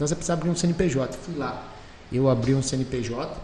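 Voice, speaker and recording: Noticeable background noise sits behind a man talking at a moderate pace. His pitch varies in an ordinary way. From Rio de Janeiro state, Brazil; moved to Valinhos (São Paulo) at 15. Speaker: entrepreneur, business founder. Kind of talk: casual interview. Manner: animated.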